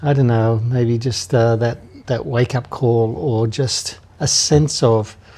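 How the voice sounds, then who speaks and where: At a fairly slow pace, a man with an Australian accent talks at medium pitch with ordinary pitch variation. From Australia, Hunter Valley NSW. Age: 70s. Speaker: anti-trafficking charity leader. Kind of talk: interview conversation. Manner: hesitant, many fillers.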